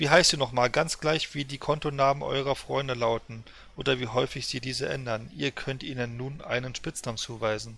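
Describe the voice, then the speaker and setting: On a very clean recording with a silent background, a man with a bright, sharp tone and vocal fry speaks at a moderate pace with fairly even intonation. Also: medium pitch for a man. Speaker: streamer. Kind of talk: casual chat. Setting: live stream, gaming. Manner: chatty, rambling.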